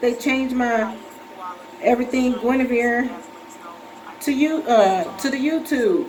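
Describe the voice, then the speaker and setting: Noticeable background noise and audible room echo surround a woman's high-pitched voice. She speaks at a fairly slow pace with long, frequent pauses. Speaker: vlogger with breast cancer. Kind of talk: casual vlog. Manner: soft-spoken; halting.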